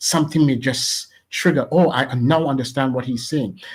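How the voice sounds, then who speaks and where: At a moderate pace, a man with a Trinidadian accent speaks in a medium pitch. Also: very clean recording, silent background. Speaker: radio station founder. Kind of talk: interview. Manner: animated.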